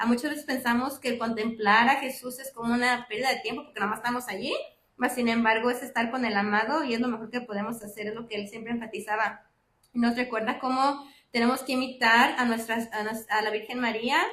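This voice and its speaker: A woman's fairly high, bright, sharp voice in monotone, flat intonation at a fairly quick pace. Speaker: lay speaker giving a reflection at a church class. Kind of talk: religious talk. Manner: fast; many filler sounds (ah, am, este).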